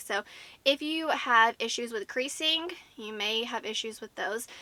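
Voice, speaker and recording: A woman with an American accent speaks at a fairly slow pace in a high pitch, with a bright, sharp tone and ordinary pitch variation. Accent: southern US, comes out at times. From US South. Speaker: beauty YouTuber. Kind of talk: product review. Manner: animated.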